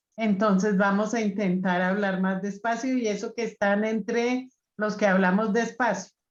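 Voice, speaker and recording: Her pitch medium and her intonation monotone and flat, a woman speaks at a fairly slow pace. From Colombia. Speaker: group facilitator. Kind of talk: group discussion.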